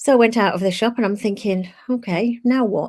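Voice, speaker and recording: A woman's fairly high-pitched voice with a British accent. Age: 60s. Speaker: live show co-host. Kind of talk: casual chat, personal storytelling.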